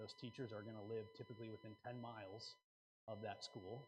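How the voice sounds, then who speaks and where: A man speaks at a moderate pace with an enthusiastic tone. His voice is somewhat breathy. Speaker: conference seminar presenter, local marketing speaker. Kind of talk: conference seminar presentation to an audience. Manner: casual, conversational, enthusiastic.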